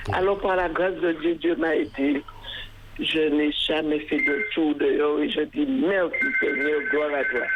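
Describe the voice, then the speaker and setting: Over noticeable background noise, a woman speaks at a very slow pace with very even loudness. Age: 80s+. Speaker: caller, faithful listener celebrating birthday. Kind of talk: casual chat.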